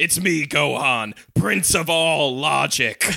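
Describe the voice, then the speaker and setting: A man shouts in a put-on character voice with a fairly high pitch. His pace is very slow. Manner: yelling, haughty.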